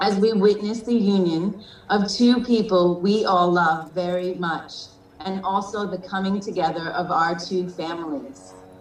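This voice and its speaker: Against noticeable background noise and audible room echo, a woman of medium pitch speaks at a fairly slow pace with fairly even intonation. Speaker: unofficial wedding officiant. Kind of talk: wedding ceremony address. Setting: video call.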